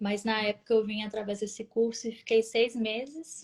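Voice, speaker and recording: Speaking in a Minas Gerais accent, a woman has a medium pitch and a somewhat breathy voice. Her intonation is monotone and flat, and her pace is fairly slow. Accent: Brazilian Portuguese, mineiro. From Brazil, Minas Gerais (Vespasiano, Belo Horizonte area). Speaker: nurse. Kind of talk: interview.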